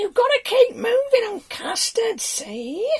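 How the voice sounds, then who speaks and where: A squeaky, put-on character voice at an extremely high pitch and a fairly slow pace. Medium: read story.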